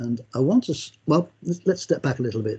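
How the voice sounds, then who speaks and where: A man's medium-pitched voice, dark and mellow in tone, somewhat breathy, with ordinary pitch variation. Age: 70s. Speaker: knowledge management speaker and author. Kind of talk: conference talk. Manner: halting, many repeated words and fillers.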